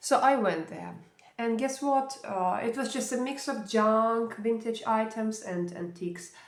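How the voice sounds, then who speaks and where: Over audible room echo, a woman talks at a fairly slow pace in a fairly high voice with ordinary pitch variation. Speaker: vlogger. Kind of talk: casual vlog review. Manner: hesitant, many fillers.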